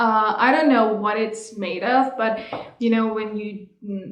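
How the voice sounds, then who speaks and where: A woman speaks with a Persian accent at a fairly high pitch. Her fairly slow delivery carries audible room echo. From Iran. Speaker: vlogger. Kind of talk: casual chat. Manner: halting.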